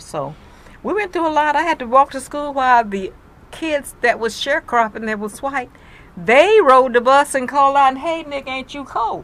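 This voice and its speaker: Speaking at a moderate pace, a woman talks in a Mississippi accent. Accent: Southern US, Mississippi. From US South, Mississippi. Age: 80s+. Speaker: elderly interviewee sharing life story. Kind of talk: interview, personal recollection.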